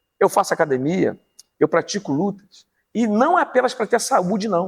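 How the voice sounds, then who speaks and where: High-pitched male voice with lively intonation and a dry, close sound with no echo. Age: 60s. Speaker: pastor and teacher. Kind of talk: interview testimony.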